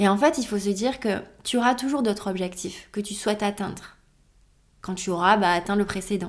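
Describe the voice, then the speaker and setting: A woman talks at a medium pitch with fairly even intonation. The recording is very clean, the background silent. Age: 30s. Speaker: podcast host and yoga teacher. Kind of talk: solo reflective monologue. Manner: hesitant, with fillers and repetitions.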